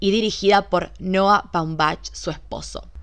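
A woman with a Rioplatense accent speaks at a medium pitch. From Argentina, Buenos Aires. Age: 20s. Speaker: podcast host. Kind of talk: solo podcast monologue. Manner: animated.

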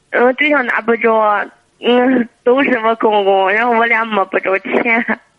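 A woman speaks at a fairly slow pace in a fairly high pitch. Her loudness stays very even and her intonation fairly even. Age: 20s. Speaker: caller. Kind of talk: phone-in advice call. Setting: phone call. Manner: halting.

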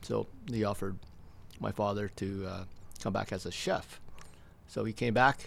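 A man with a Canadian accent, fairly low in pitch with vocal fry, at a moderate pace with fairly even intonation and long, frequent pauses. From Stratford, Ontario, Canada. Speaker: restaurant owner. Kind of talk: interview. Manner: halting.

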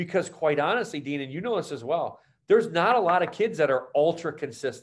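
A man with an American accent in an ordinary speaking voice, lively in intonation and fairly quick in pace, on a very clean recording with a silent background. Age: 40s. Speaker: podcast host, sports performance coach. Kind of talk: casual chat.

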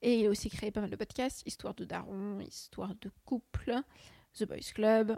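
A woman talks at a fairly slow pace, the sound dry and close with no echo. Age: 20s. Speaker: student podcaster. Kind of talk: casual solo chat. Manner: hesitant, many fillers.

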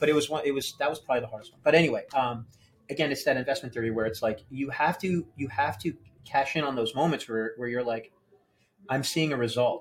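A fairly high-pitched man with an American accent at a very fast pace, somewhat breathy, with big swings in loudness and ordinary pitch variation. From New Jersey. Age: 40s. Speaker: banker. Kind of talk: casual interview. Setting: gym.

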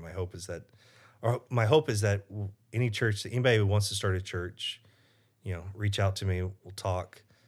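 A man with a fairly low, somewhat breathy voice talks at a fairly quick pace. The recording is very clean, with a silent background. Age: 40s. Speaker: pastor. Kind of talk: interview.

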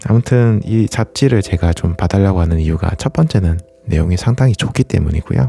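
A man with a very deep, low pitch talks at a fairly quick pace in a relaxed, calm tone, his loudness very even. The sound is dry and close with no echo, though background noise is noticeable. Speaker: running youtuber and podcast host. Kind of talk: casual solo monologue. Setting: home recording late at night. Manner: relaxed, calm late-night talk.

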